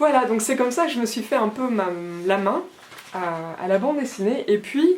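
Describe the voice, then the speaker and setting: Noticeable background noise behind a woman's high voice, with very wide pitch swings and a moderate pace. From France. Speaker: illustrator. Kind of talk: artist talk. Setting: Facebook live. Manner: halting.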